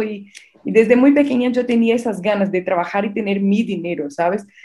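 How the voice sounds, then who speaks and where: A woman with a Brazilian accent and a fairly high pitch. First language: Portuguese (speaking Spanish). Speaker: marketing entrepreneur. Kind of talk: casual interview. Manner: halting.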